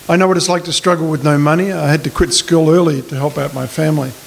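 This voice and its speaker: In an Australian accent, a man talks at a very fast pace. His pitch is high, with noticeable background noise behind him. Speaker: political candidate. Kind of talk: candidate forum speech. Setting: community hall forum with audience.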